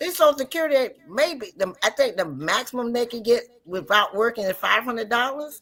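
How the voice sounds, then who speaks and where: A moderate pace and ordinary pitch variation in an ordinary speaking voice. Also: woman. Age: 60s. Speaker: livestream host. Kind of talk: casual chat.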